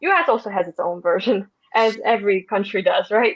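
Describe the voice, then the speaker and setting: Speaking with a Russian accent, a woman keeps a moderate pace. Her pitch sits fairly high. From Russia (Moscow). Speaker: podcast guest, marketing worker. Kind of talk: casual interview chat. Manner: halting, many fillers and restarts.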